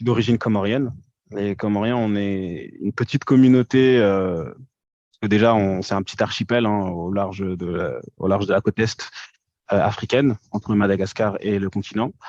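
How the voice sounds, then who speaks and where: A man speaks at a moderate pace with a fairly low pitch and fairly even intonation. The sound is dry and close, with no echo. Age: 20s. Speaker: podcast guest, social media commentator. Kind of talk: casual interview. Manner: hesitant, many fillers.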